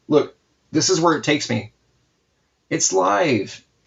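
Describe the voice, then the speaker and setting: This is a man speaking. His voice has vocal fry. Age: 40s. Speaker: comic book artist streamer. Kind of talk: casual chat during live art stream. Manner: animated.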